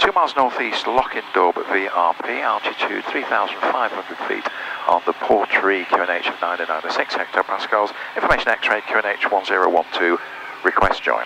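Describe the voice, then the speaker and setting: Over noticeable background noise, a man with a fairly low pitch talks at a fairly slow pace with ordinary pitch variation, the sound dry with no echo. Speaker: private pilot. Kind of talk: pilot radio calls and cockpit chat; radio calls and cockpit talk. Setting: aircraft cockpit over radio. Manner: clipped, brisk radio readbacks; wry, joking asides. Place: plane. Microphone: headset.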